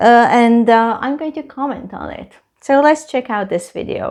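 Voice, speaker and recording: The speaker has a Hungarian accent against a quiet background. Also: woman. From Hungary. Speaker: travel vlogger. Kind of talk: casual reaction video commentary. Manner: halting, many fillers.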